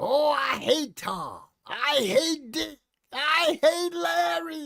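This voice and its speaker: A put-on character voice with high pitch at a very slow pace. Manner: villainous, with a laugh.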